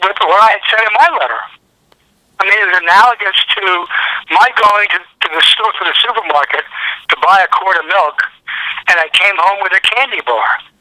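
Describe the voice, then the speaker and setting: In an American accent, a man talks at a fairly quick pace with a raised, projected voice. His pitch is high, with ordinary variation. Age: 70s. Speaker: sports fan caller. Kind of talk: phone interview. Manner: halting with repetitions.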